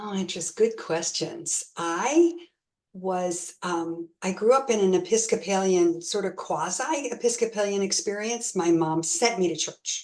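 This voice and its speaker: A woman with a plain, everyday voice in an American accent, at a fairly slow pace with ordinary pitch variation. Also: medium pitch for a woman. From US South, South Florida. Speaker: guest on faith talk show. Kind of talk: interview.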